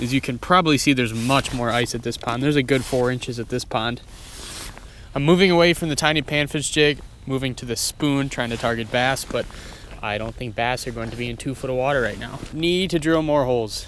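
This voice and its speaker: A man talks fairly quickly while noticeable noise runs in the background. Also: medium pitch for a man, ordinary pitch variation. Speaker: fishing vlogger. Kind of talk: outdoor vlog narration. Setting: outdoors on a frozen pond. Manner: animated; fast.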